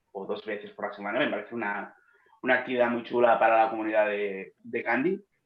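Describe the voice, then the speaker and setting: A man speaks at a moderate pace. He has a strong Catalan accent. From Catalonia, Spain. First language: Catalan (speaking Spanish). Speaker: philologist and manga editor. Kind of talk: interview. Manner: mumbling, speaks inward.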